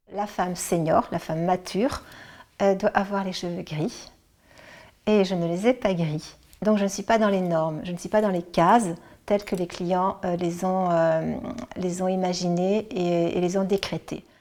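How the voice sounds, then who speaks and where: Over a very clean recording with a silent background, a woman with a dark, mellow tone speaks at a fairly slow pace with fairly even intonation and long, frequent pauses. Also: medium pitch for a woman. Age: 60s. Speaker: senior model, retired bank employee. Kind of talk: interview. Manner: hesitant, many filler sounds.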